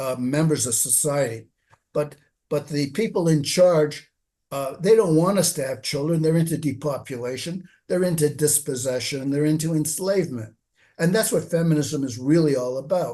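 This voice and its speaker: Against a quiet background, a man with a fairly high pitch and a dark, mellow, somewhat breathy tone speaks at a moderate pace with ordinary pitch variation. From Canada. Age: 70s. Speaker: author and website writer. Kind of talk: interview.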